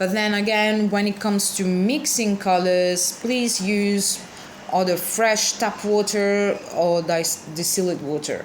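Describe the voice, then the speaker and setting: A woman at medium pitch with a non-native accent, very slow pace, fairly even intonation and very even loudness, with audible room echo and noticeable background noise. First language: not English. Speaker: card alter artist. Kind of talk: tutorial. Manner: casual, with hesitations; slow-paced.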